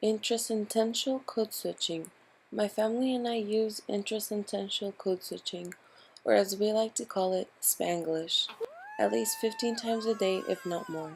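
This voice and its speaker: At a moderate pace and a fairly high pitch, a woman speaks with ordinary pitch variation against noticeable background noise. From San Antonio, Texas (Mexican-born, moved at age 2). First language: Spanish. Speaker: student. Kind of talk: scripted narration.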